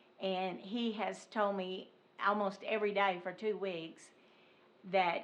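A woman speaks in an Arkansas accent at a medium pitch, her intonation monotone and flat. Room echo is audible. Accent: Southern US (Arkansas). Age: 70s. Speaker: resident speaking at public comment. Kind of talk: public comment at council meeting. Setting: city council meeting.

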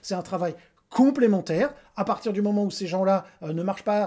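Speaking at a fairly quick pace, a man uses a high pitch with ordinary variation. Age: 50s. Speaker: educational kinesiology trainer. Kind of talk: solo presentation. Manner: hesitant, many fillers. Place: home room. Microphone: webcam.

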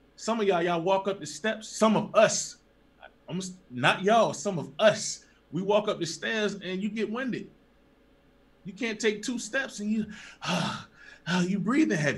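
Animated in tone, a man speaks at a high pitch with ordinary pitch variation, leaving long, frequent pauses. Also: moderate pace. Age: young. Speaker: religious teacher. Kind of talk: sermon. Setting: livestream. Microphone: webcam.

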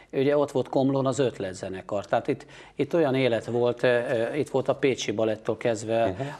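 Fairly quick in pace, this man has an ordinary speaking voice. His medium pitch shows ordinary variation. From Hungary, Pécs; Hungary. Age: 50s. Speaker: photographer; guest. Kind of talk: interview. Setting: TV studio. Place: studio. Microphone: lapel.

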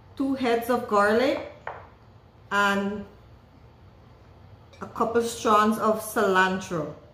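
A woman speaks very slowly, with ordinary pitch variation. Room echo is audible. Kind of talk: cooking tutorial. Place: kitchen. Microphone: camera far.

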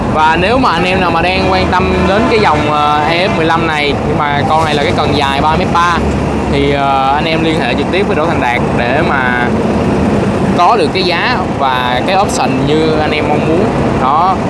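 Against loud background noise, a man speaks fairly slowly in a dry sound with no echo. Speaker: machinery seller. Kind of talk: casual sales commentary. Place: street. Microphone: phone near.

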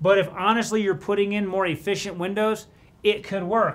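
The pace is moderate. A man talks at a high pitch. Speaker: presenter. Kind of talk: tutorial. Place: office.

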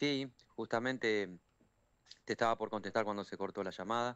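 A man talks at a fairly quick pace with ordinary pitch variation, in a dry sound with no echo. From Argentina, Villa Constitución (Santa Fe); Santa Fe, Argentina. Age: 40s. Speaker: trade union leader, steelworker. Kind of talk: phone interview on radio. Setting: phone call. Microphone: phone line.

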